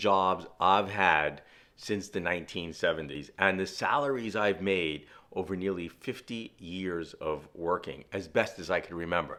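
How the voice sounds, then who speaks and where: A man with a New York accent and a very deep, low pitch, ordinary pitch variation, on a very clean recording with a silent background. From Brooklyn, New York City. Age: 60s. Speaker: outdoor and fishing vlogger. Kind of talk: personal monologue. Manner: casual, with fillers.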